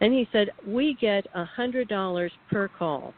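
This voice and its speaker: A woman with a plain, everyday voice. Her pitch sits in the medium range and moves with ordinary variation. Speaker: whistleblower, radio guest. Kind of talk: radio interview testimony.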